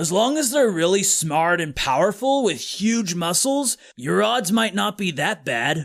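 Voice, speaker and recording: Putting on a character voice, a man talks at a high pitch and a fairly slow pace with hardly any pauses. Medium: read story. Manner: casual, dudely.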